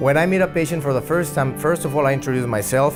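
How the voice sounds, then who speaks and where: Someone speaks in a Mexican accent while music plays in the background. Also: man. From Mexico. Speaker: oral surgeon. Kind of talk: interview answer.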